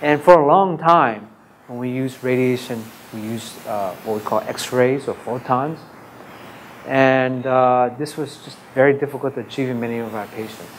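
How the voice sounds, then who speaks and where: A man speaks at medium pitch and a moderate pace, with ordinary pitch variation and big swings in loudness. Audible room echo and noticeable background noise fill the recording. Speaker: radiation oncologist. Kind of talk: conference talk.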